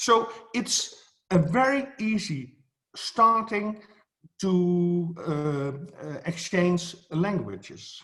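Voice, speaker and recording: With a Dutch accent, a man speaks at a high pitch. His intonation is lively. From Netherlands. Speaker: photography educator. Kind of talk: speech at an online event. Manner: halting, many fillers.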